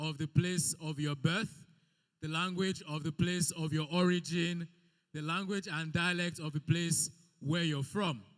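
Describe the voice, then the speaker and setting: Loud, animated speech at a moderate pace. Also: man. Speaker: event MC. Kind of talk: event hosting. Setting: event hall with audience.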